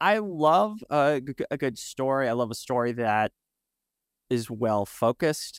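With an ordinary speaking voice, a man talks at a fairly slow pace and medium pitch, using lively intonation in a dry, close sound with no echo. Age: 30s. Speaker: podcast host. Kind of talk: interview.

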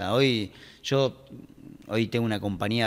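The very clean recording, with a silent background, captures a man speaking at a fairly low pitch. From Argentina, Pergamino (Buenos Aires province interior). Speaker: tech company CEO and entrepreneur. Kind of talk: casual interview. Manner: energetic.

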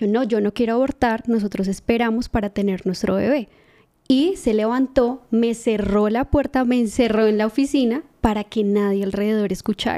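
A woman's fairly high voice with a dark, mellow tone moves at a moderate pace with ordinary pitch variation and very even loudness, the sound dry and close with no echo. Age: 20s. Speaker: podcast host. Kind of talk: casual chat.

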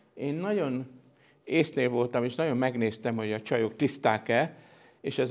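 A man has an ordinary speaking voice at a medium pitch. He talks at a moderate pace with ordinary pitch variation. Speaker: science historian, professor. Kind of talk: lecture.

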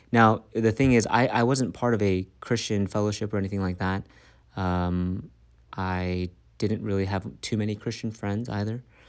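In a very clean recording with a silent background, a man with an American accent and an ordinary speaking voice talks at a moderate pace, his pitch fairly low and his intonation fairly even. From Maryland, US. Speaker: pastor. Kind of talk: interview testimony.

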